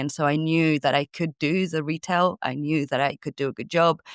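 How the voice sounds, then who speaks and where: Spoken with a Spanish accent and fairly even intonation, the voice sounds dry and close with no echo in a very clean recording with a silent background. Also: woman. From Spain. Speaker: sales coach. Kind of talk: podcast interview.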